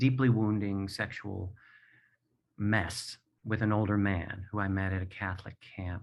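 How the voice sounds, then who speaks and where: A man with fairly low pitch talks at a fairly slow pace in an unremarkable speaking voice. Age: 60s. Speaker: playwright and performer, abuse survivor. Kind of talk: personal testimony. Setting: video call from home.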